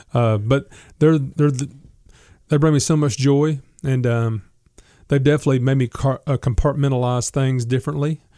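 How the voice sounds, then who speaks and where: With a Southern US accent, a man speaks at a moderate pace in a dark, mellow, medium-pitched voice, his intonation fairly even and broken by long, frequent pauses. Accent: Southern American. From US South, Memphis, Tennessee. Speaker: gospel singer and songwriter. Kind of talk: casual interview.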